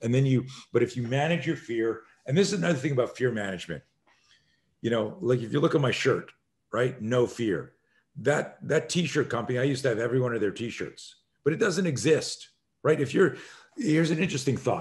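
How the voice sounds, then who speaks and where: A man's medium-pitched, somewhat breathy voice, fairly quick and lively in intonation, with long, frequent pauses and a quiet background. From Canada. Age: 60s. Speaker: self-defense instructor. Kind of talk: podcast interview. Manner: animated.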